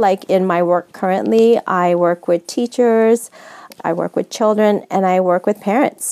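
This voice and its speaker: With a Californian accent and a dark, mellow tone, a woman is heard in a dry, close sound with no echo. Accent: General American, California. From US West Coast, San Francisco. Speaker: nonprofit executive director. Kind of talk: interview.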